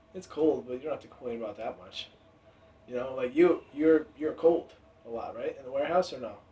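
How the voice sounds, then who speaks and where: The speech moves at a fairly quick pace with big swings in loudness. Noticeable background noise runs underneath. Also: man, fairly high pitch for a man, ordinary pitch variation. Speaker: podcast co-host, guest. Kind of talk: casual chat. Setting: podcast recording.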